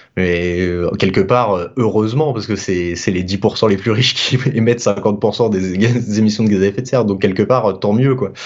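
A man speaks at a fairly low pitch. Noticeable background noise runs beneath his voice. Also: fairly even intonation, fairly slow pace. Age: 20s. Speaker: freelance developer. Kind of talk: casual interview. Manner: halting.

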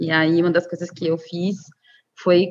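This woman's voice sits fairly low. She talks in a flat, monotone way. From Brazil, Cuiabá, Mato Grosso. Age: 30s. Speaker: media activist, co-founder of a media collective. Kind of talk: interview. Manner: hesitant, many fillers.

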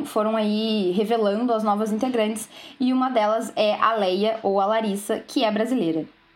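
A woman speaks at a moderate pace with a fairly high pitch. She has a normal speaking voice. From southern Brazil, Rio Grande. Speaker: radio co-host, journalism student. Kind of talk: casual chat.

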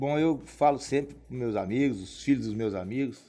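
In a plain, everyday voice, a man talks at a moderate pace with medium pitch and ordinary pitch variation. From Governador Valadares, Minas Gerais, Brazil. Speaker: civil engineer. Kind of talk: casual interview.

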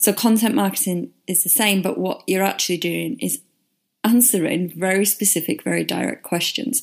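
This woman has a medium pitch and ordinary pitch variation, with a northern English accent. The recording is very clean, with a silent background. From northern England. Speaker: podcast host, marketing consultant. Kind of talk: solo podcast monologue, casual explainer.

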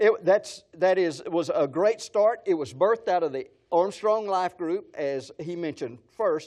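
A man with a West Texas accent speaks at a high pitch and a fairly slow pace. He uses ordinary pitch variation with hardly any pauses, against a quiet background. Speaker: pastor. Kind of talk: sermon. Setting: church gathering with audience. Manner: animated.

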